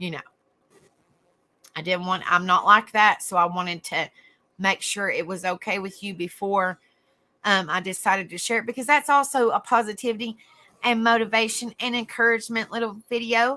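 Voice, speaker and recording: Delivered at a moderate pace in a strong Southern US accent, the voice has a warm yet bright, sharp tone with ordinary pitch variation. Loudness swings widely, pauses come long and often, and the sound is dry and close with no echo. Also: woman, fairly high pitch for a woman. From US South, East Tennessee. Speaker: online talk show host. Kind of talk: casual livestream chat. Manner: warm, chatty.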